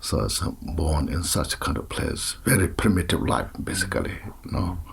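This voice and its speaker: Pitch moves in a typical way at a moderate tempo. Beneath the voice, background noise is noticeable. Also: man, very deep, low pitch for a man. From Tibet. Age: 60s. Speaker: Buddhist teacher. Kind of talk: interview. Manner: halting, with many fillers.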